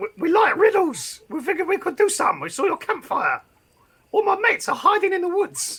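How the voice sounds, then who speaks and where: This man uses a put-on character voice pitched extremely high. He talks at a fairly quick pace. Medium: actual play. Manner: rambling, keeps repeating "I'm a goblin".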